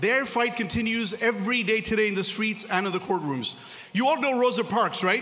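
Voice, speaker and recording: A man shouts in a raised, projected voice, high-pitched and passionate, at a very fast pace. Noticeable background noise and audible room echo fill the recording. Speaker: corporate attorney, gala speaker. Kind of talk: speech at a gala. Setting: banquet hall with audience. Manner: loud, shouting.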